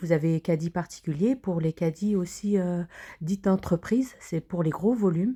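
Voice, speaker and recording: In a very clean recording with a silent background and a dry, close sound with no echo, a woman speaks fairly slowly in a dark, mellow tone at medium pitch with ordinary pitch variation. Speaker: cooking vlogger. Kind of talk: vlog walkthrough. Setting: inside a wholesale store. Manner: hesitant, many fillers.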